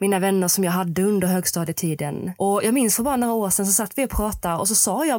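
Her pitch is medium as this woman talks very fast. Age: 20s. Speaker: mental coach for equestrians. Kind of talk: solo podcast monologue.

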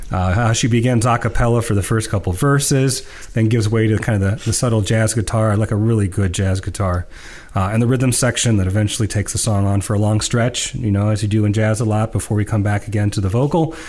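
Somewhat breathy, a man speaks very fast at a fairly low pitch, with very even loudness and fairly even intonation. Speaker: podcast co-host. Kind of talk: casual discussion of music.

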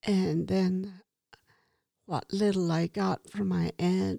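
Dry and close with no echo, a woman speaks at a very slow pace. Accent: American. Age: 70s. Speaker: Navajo elder and grandmother. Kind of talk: casual chat.

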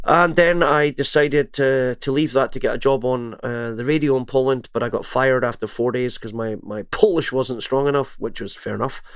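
With a Scottish accent, a man at a medium pitch talks at a fairly quick pace with hardly any pauses. His pitch variation is ordinary. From Scotland. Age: 50s. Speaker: singer and music entrepreneur. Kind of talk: interview.

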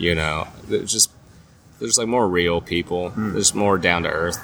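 A man with a fairly low pitch keeps a moderate pace, while noticeable background noise runs underneath. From Nashville, Tennessee, moved from California at ten. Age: 30s. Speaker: comedian. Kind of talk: casual chat. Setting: outdoors at a pub.

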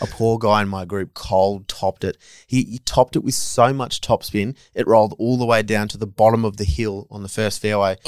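This man has an Australian accent and a fairly low pitch, talking fairly quickly with hardly any pauses and fairly even intonation. The recording is very clean and dry, close with no echo, over a silent background. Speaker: golf journalist. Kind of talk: casual chat. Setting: on location at golf tournament.

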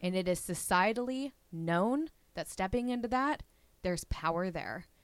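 Using a normal speaking voice, a woman talks at a moderate pace with lively intonation and a medium pitch. The recording is very clean, with a silent background. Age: 20s. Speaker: podcast host. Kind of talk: casual interview chat.

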